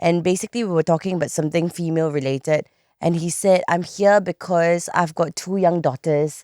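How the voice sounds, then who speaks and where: On a very clean recording with a silent background and a dry, close sound with no echo, a woman speaks at a fairly low pitch in a dark, mellow tone with fairly even intonation. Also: fairly quick pace. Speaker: podcast co-host. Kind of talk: casual chat.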